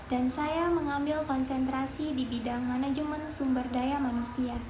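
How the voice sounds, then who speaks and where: A woman with a high voice talks fairly slowly and fairly evenly, with noticeable background noise and audible room echo. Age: 20s. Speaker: job applicant, management graduate. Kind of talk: mock job interview self-introduction. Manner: formal.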